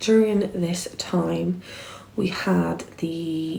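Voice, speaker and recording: A woman speaks quietly with an English accent. Audible room echo surrounds her voice. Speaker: vlogger. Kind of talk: storytime monologue. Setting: at home, dining room.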